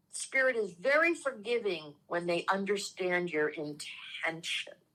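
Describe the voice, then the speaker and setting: A woman with a New York accent speaks at a very slow pace in a medium pitch. Her tone is bright and sharp, her intonation lively. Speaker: spiritual teacher and reverend. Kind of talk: casual spiritual chat.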